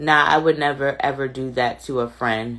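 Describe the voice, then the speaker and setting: On a very clean recording with a silent background, a woman speaks in an animated tone at a fairly slow pace. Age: 30s. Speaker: livestream commentary host. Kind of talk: live stream chat reading viewer comments.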